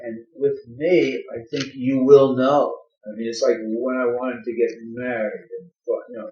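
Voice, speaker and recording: Over music in the background, a man speaks at a fairly slow pace with big swings in loudness. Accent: American. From Connecticut. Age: 60s. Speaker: retired English teacher. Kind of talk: oral history interview. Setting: at a private home. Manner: halting, many fillers and repeats.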